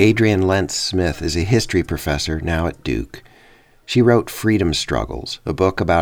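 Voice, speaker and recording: This man speaks at a moderate pace with lively intonation. His voice has vocal fry. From Minnesota. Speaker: documentary podcast host. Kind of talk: scripted narration.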